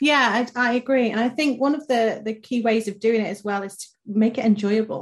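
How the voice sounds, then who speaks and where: Against a quiet background, a woman with a plain, everyday voice speaks at a fairly quick pace and fairly high pitch, with big swings in loudness. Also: fairly even intonation. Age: 30s. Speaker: podcast co-host, marketing director. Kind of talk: casual chat.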